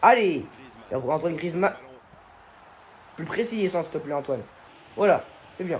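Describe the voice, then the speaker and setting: A man's strained, animated voice with lively intonation, moderate pace and noticeable background noise. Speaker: gaming youtuber. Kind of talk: gameplay commentary. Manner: restrained volume.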